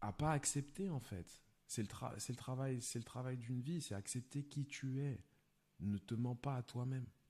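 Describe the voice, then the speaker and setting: At a fairly slow pace, a man with a somewhat breathy, dark, mellow tone speaks at a medium pitch with ordinary pitch variation and very even loudness. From France, Lyon. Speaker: film director and stand-up comedian. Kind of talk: casual chat.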